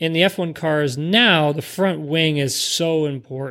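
This man has an unremarkable speaking voice, fairly high in pitch, and he speaks at a fairly slow pace. The recording is very clean and the background silent. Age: 30s. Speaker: former professional race car driver. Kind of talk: casual chat.

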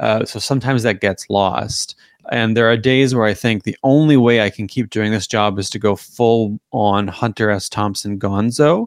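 In a normal speaking voice with a Canadian accent, the speaker moves at a moderate pace with fairly even intonation and hardly any pauses, the sound dry and close with no echo. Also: man, medium pitch for a man. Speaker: political commentator and author. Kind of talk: casual interview chat.

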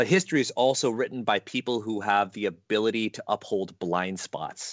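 A man at medium pitch in an unremarkable speaking voice with a Canadian accent, moderate pace and ordinary pitch variation. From Canada. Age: 30s. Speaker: podcast host and game designer. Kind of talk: casual chat.

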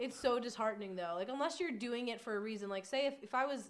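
A woman with an American accent talks at a very fast pace against noticeable background noise. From New York area (Long Island). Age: 20s. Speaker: adult film performer and nutrition contractor. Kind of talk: casual chat.

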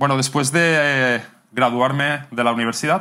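Man with a bright, sharp tone. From Catalonia, Spain (near Barcelona). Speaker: language teacher and YouTuber. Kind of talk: interview.

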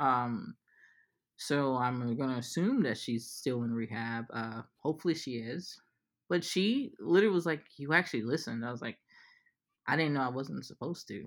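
This woman's pitch is very deep and low. Her intonation is lively. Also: moderate pace, very clean recording, silent background. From New Orleans, Louisiana. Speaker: psychiatrist. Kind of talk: casual interview. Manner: animated.

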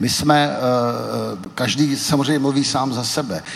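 Noticeable background noise accompanies this man's voice. Room echo is audible as well. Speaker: Velvet Revolution participant and author. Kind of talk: panel discussion before live audience. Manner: hesitant with many fillers.

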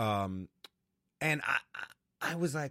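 Very wide pitch swings come through in a dry, close sound with no echo on a very clean recording with a silent background. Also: man. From US Northeast, New Haven, Connecticut. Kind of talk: casual interview.

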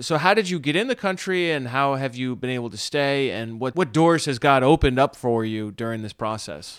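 An ordinary speaking voice from a man, medium in pitch, with hardly any pauses, on a very clean recording over a silent background. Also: lively intonation. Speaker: pastor and podcast host. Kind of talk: interview.

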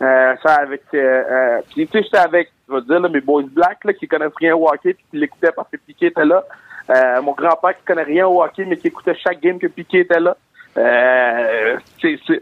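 A man's normal speaking voice at a moderate pace, fairly high in pitch with ordinary pitch variation and big swings in loudness. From Montreal, Quebec. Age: 20s. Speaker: comedian. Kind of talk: interview.

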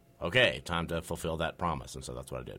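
A man's very deep, low voice with vocal fry and a bright, sharp tone, on a very clean recording with a silent background. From US South, North Carolina. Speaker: playwright and drama student. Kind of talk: radio interview. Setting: radio studio.

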